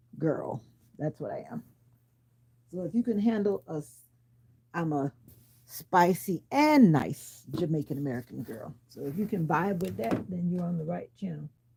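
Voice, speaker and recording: Using lively intonation at a moderate pace, a woman with a fairly low pitch and a dark, mellow tone speaks with vocal fry, big swings in loudness and long, frequent pauses. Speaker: livestreamer. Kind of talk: casual live chat.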